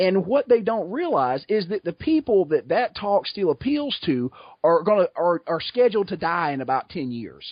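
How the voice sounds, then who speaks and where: Speaking at a moderate pace with a Southern US accent, a man with a high pitch for a man sends his voice through very wide pitch swings. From US South, south Georgia. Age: 30s. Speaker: podcast guest. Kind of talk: casual chat.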